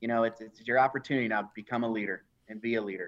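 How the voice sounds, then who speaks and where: Speaking at a fairly quick pace with fairly even intonation, a man at medium pitch has a plain, everyday voice. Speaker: chief information officer. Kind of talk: live interview. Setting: video call livestream.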